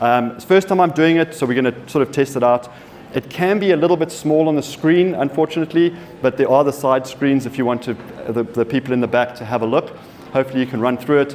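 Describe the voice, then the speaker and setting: Speaking very fast, a man with a South African accent uses a fairly high pitch. Background noise is noticeable. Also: ordinary pitch variation. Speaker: software company partner manager. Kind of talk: conference presentation. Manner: halting, many fillers and repeats.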